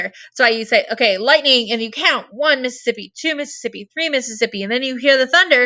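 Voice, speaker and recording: A woman with an American accent projects her raised voice at high pitch. Her tone is bright and sharp, and her pace is fairly quick. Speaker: science teacher. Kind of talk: lecture. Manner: loud; energetic.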